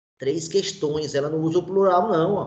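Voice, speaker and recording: Audible room echo colors a man's fairly high voice, which has ordinary pitch variation. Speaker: teacher. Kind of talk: online lecture.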